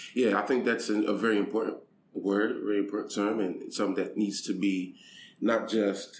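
In a room with audible echo, a man speaks at a moderate pace in a fairly low pitch with monotone, flat intonation. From United States, Haitian immigrant. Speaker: aid program director and pastor. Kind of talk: interview. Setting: in person.

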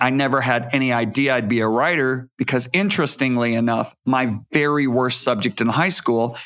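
In a Midwestern American accent, a man speaks at a fairly quick pace and medium pitch with ordinary pitch variation over a quiet background. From Michigan. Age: 60s. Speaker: author and evangelist. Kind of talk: interview.

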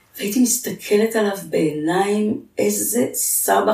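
Noticeable background noise runs beneath a woman who talks very slowly. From Israel, Jerusalem. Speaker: nonprofit founder and CEO. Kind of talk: interview, life story.

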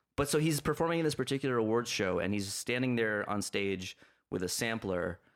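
A man with an American accent speaks fairly quickly in a plain, everyday voice at medium pitch with lively intonation. The recording is very clean and the background silent. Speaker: podcast host. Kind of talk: casual chat.

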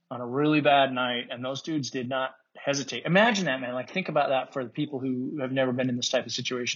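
A man with an American accent has an ordinary speaking voice. His pitch is medium and his intonation fairly even. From Utah. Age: 50s. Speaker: war veteran. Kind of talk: casual chat.

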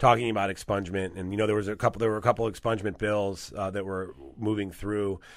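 This man talks very fast in an American accent, with a fairly low pitch and monotone, flat intonation. The recording is very clean, with a silent background. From California. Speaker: attorney. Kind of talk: interview. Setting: studio.

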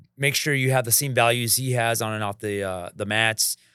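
The man's tone is bright and sharp, his intonation fairly even, and the sound dry and close with no echo. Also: very clean recording, silent background. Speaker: martial arts instructor and school owner. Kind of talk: casual interview chat.

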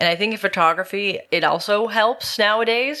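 A woman with a Western Canadian accent, bright and sharp in tone, at a moderate pace with ordinary pitch variation. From Metro Vancouver, British Columbia, Canada. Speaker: singer-songwriter. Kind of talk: interview.

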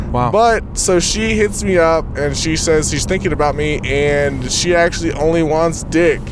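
With noticeable noise behind him, a man speaks at a moderate pace and hardly pauses. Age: 20s. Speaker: rideshare passenger. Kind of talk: storytelling. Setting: in a car.

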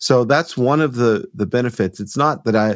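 A man with an American accent has a normal speaking voice, moving at a moderate pace with ordinary pitch variation. The recording is very clean, with a silent background. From US South, Georgia (near Rome). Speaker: audio company founder. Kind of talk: interview.

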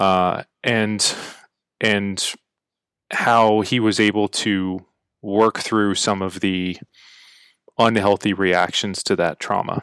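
A man with an American accent, fairly low-pitched and monotone, at a very slow pace with long, frequent pauses, in a dry, close sound with no echo. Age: 30s. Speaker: army officer. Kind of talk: casual chat.

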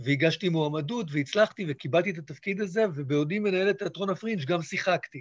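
Dry and close with no echo, a man's high-pitched voice moves at a fairly quick pace with hardly any pauses. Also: ordinary pitch variation. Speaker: theatre director. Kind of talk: interview.

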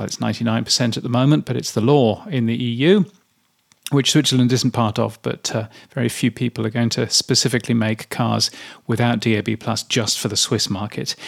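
A man talks at a fairly quick pace in a medium pitch, with fairly even intonation, some vocal fry, and a dry, close sound with no echo. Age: 50s. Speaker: radio industry newsletter writer and podcaster. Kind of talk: solo commentary reading own newsletter. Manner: casual with filler words.

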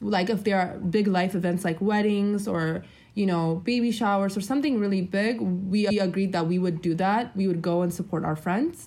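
Speaking at a moderate pace with hardly any pauses, a woman has a somewhat breathy, dark, mellow tone, a medium pitch, ordinary pitch variation and very even loudness. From Ethiopia, raised in US Midwest from age nine. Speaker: debt-free couple guest. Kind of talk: interview. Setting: video call.

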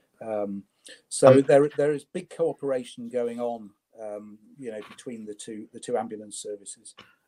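A dark, mellow tone at a moderate pace, with ordinary pitch variation, big swings in loudness, and a dry, close sound with no echo. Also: man, medium pitch for a man. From northern England, Leeds. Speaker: creative entrepreneur. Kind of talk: interview.

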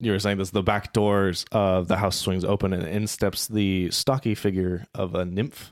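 The intonation stays fairly even as the speaker is reading aloud in a natural voice.

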